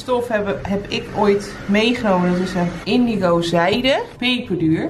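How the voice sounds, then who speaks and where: A woman's voice amid noticeable background noise. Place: home room.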